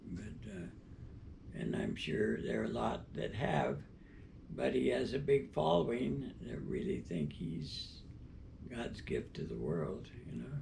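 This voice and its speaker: With audible room echo, a man talks at a fairly slow pace in a very deep, low voice. His pitch swings very widely. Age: 90s. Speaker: interviewee. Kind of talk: interview. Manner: halting.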